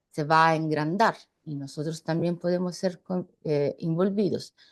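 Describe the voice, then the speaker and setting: The background is quiet. The speaker talks at a fairly slow pace. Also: woman. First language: Italian (speaking Spanish). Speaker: journalist. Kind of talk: panel discussion. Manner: halting.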